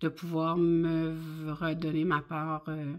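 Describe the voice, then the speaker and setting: Recorded very cleanly with a silent background, a woman speaks with a fairly low pitch. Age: 50s. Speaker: budgeting vlogger. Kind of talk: casual vlog monologue. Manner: hesitant, many fillers.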